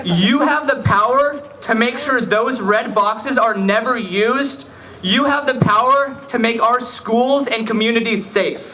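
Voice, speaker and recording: This man projects a raised voice in an American accent, his pitch extremely high, at a fairly slow pace with ordinary pitch variation and very even loudness. Noticeable background noise and audible room echo fill the recording. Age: young. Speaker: student activist. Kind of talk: rally speech.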